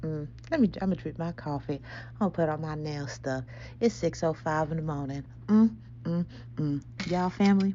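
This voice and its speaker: Whispering at a fairly quick pace, a woman leaves long, frequent pauses. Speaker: spiritual podcast host. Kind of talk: casual spiritual monologue. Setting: at home early morning. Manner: animated.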